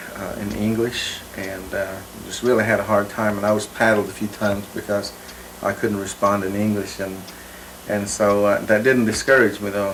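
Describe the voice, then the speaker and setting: A man with a fairly low pitch talks at a moderate pace in a monotone, flat intonation. Noticeable background noise is present. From Oklahoma, Cherokee community. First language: Cherokee. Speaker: linguist. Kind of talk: interview. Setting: on location. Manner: halting, many fillers.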